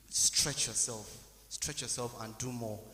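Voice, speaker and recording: There is noticeable noise in the background. Over it, a man's delivery moves along fairly quickly. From Nigeria, Abuja. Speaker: medical student. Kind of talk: testimony. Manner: halting.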